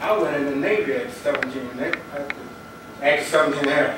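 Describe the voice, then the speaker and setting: Audible room echo and noticeable background noise surround the recording. A man speaks at a fairly quick pace, fairly high in pitch with ordinary pitch variation. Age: 70s. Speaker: retired navy veteran, public commenter. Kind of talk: public comment. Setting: public board meeting at microphone.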